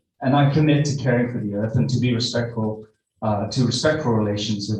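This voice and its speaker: Music plays behind a man who speaks very fast at medium pitch with fairly even intonation. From Wales. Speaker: nurse and university academic. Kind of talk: conference talk. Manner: halting, many fillers.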